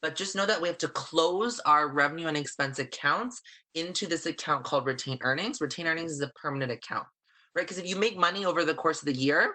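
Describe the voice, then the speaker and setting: A loud, fairly quick man with a bright, sharp tone, fairly high pitch and ordinary pitch variation, against a quiet background. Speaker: accounting instructor. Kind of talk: online lecture. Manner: fast.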